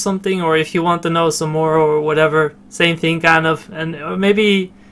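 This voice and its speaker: A man's high-pitched voice at a fairly quick pace. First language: not English. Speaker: gaming video creator. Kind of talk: game tutorial commentary. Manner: halting, many fillers and repeats.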